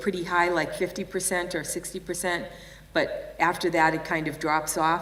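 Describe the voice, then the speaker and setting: A woman with a Boston accent speaks at a moderate pace and a fairly low pitch. Audible room echo surrounds her voice. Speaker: nurse and healthcare improvement leader. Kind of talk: conference keynote.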